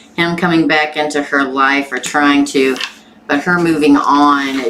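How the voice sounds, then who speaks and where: A woman with an American accent and a very deep, low pitch is heard over noticeable background noise. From Missouri, US. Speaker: tarot reader. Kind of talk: live-stream tarot reading. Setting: live stream with chat. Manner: casual, chatty.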